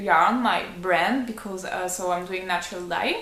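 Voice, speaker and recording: A woman with a French accent at a fairly slow pace, ordinary pitch variation, audible room echo. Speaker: knitting podcaster and yarn dyer. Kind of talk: casual video podcast. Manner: hesitant, many fillers.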